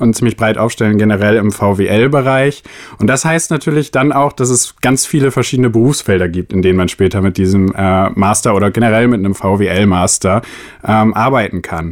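Speaking at a moderate pace, a man has an unremarkable speaking voice of medium pitch with ordinary pitch variation. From northern Germany, Oldenburg. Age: 20s. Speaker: master's student. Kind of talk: casual chat.

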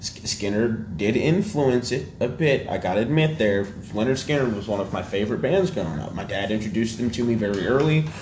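Noticeable background noise behind a man at medium pitch, fairly quick and with hardly any pauses, his intonation lively. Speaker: podcast host. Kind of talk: casual banter podcast chat. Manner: joking, sarcastic.

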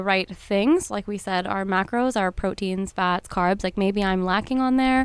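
On a very clean recording with a silent background, a woman talks at medium pitch and a moderate pace, her intonation fairly even and hardly any pauses. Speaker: fitness trainer. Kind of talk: casual chat.

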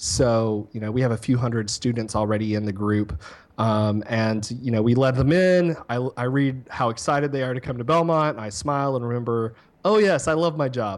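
A man speaks at a medium pitch with an ordinary speaking voice. His pitch varies in an ordinary way. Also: moderate pace, very clean recording, silent background. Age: 30s. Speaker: university social media and digital marketing specialist. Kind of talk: casual interview chat.

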